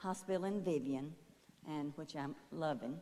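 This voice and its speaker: A woman's dark, mellow tone comes through at a moderate pace. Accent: American. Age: 70s. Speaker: retiree panelist. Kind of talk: personal testimony.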